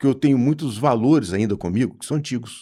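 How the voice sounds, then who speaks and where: Against a silent background in a very clean recording, a man speaks at a moderate pace with lively intonation, a medium pitch and a dark, mellow tone. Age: 60s. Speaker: management consultant. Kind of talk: casual interview chat. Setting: studio.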